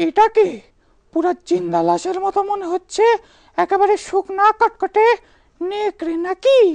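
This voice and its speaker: This cartoonish character voice sits at an extremely high pitch and moves at a fairly slow pace. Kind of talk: shadow puppet show dialogue.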